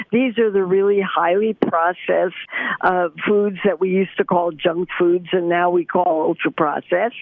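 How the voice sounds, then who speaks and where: Over noticeable background noise, a woman with a medium-pitched voice talks at a moderate pace, her loudness very even. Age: 80s+. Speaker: nutritionist, professor. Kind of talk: interview answer.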